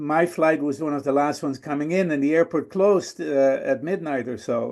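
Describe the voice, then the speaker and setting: Over a quiet background, a man with a Dutch accent talks at a fairly quick pace, his fairly high voice showing ordinary pitch variation. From Netherlands. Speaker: guest speaker. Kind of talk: storytelling talk. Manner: hesitant with fillers.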